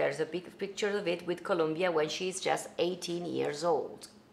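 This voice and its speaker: At a moderate pace, a woman speaks with an Italian accent. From Italy, Venice. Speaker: singer and songwriter hosting a cooking livestream. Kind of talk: casual livestream cooking tutorial. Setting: home kitchen livestream. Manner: animated. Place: kitchen.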